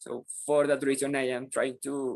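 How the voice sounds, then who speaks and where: This man speaks in a Spanish accent at a fairly slow pace, his pitch fairly high. His intonation is monotone and flat, and the sound is dry and close with no echo. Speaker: English language student. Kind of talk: class discussion. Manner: halting.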